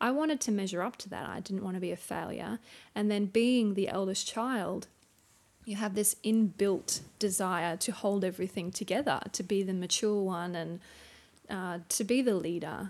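On a very clean recording with a silent background, a woman speaks at a medium pitch with an Australian accent. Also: ordinary pitch variation, moderate pace. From Townsville, Queensland, Australia. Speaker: churchgoer and stay-at-home mum. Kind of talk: interview about personal testimony.

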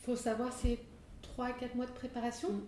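Noticeable background noise surrounds a woman speaking. Audible room echo also comes through. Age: 40s. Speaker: entrepreneur, company co-founder. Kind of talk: casual interview conversation. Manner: hesitant, many fillers and repetitions.

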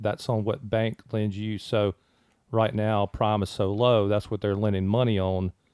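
A man talks at a moderate pace with a Mississippi accent. His fairly low voice stays monotone and flat. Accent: US Southern (Mississippi). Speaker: mortgage branch manager. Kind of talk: casual chat. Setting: studio.

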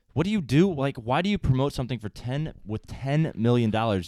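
With an American accent, a man speaks at a medium pitch in an unremarkable speaking voice, recorded very cleanly against a silent background with a dry, close sound and no echo. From US Midwest (St. Louis). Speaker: podcast host, TV industry worker. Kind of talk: casual chat.

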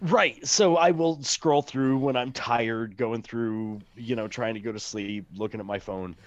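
A man with a plain, everyday voice, in an American accent, medium in pitch, with ordinary pitch variation, a fairly slow pace and hardly any pauses. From Missouri Ozarks. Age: 40s. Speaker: podcast co-host. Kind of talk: casual chat.

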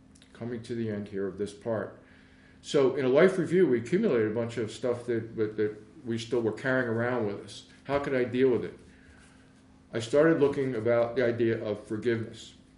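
Man with an American accent, medium pitch, fairly quick pace, ordinary pitch variation, and audible room echo. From Philadelphia, Pennsylvania. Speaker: meditation teacher. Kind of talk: talk on forgiveness. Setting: recording venue.

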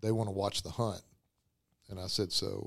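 A man speaks at a fairly low pitch and a moderate pace in a monotone, flat way. The recording is very clean, with a silent background. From Arkansas parents, raised elsewhere (unnamed). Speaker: film festival host and hunting filmmaker. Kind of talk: casual chat. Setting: hotel room.

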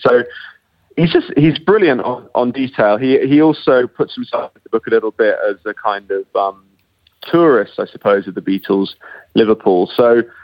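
In a British accent, a man speaks at a moderate pace. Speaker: literary critic and prize judge. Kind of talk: book discussion. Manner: halting.

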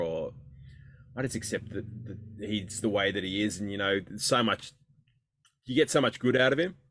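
Talking at a moderate pace, a man with an Australian accent has a fairly low pitch. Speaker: podcast co-host. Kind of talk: casual banter about football. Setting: makeshift storeroom studio.

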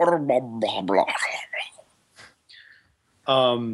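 The speaker uses a put-on character voice. The pitch sits low-to-middle. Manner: speaking in a made-up orcish language.

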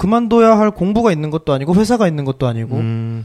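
Fairly high male voice, its pitch swinging very widely. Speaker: photographer. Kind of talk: casual chat.

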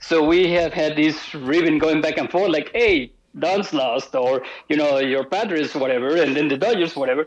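Against noticeable background noise, a man speaks at a fairly high pitch with ordinary pitch variation and very even loudness. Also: moderate pace. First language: Spanish. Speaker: sports marketing professional. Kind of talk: casual chat.

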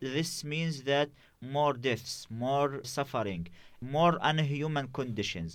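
The recording is very clean, with a silent background. A man with an Arabic accent speaks very slowly with ordinary pitch variation. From Gaza, Palestine. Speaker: journalist and activist organizer. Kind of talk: interview. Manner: halting.

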